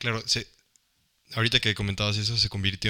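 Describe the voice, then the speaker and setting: A man talks in a fairly low, bright and sharp voice with flat, monotone intonation. The recording is very clean, with a silent background. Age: 20s. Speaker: podcast co-host. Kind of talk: casual chat. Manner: halting, repeats words.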